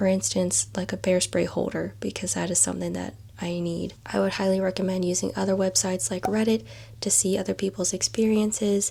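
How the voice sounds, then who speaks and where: A woman is whispering. Her pace is fairly quick. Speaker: lifestyle vlogger. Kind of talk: casual vlog talk.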